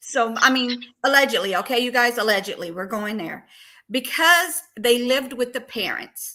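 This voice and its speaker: Her voice high and her tone bright and sharp, a woman speaks at a moderate pace with lively intonation. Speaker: true crime livestream host. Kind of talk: casual livestream discussion. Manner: halting.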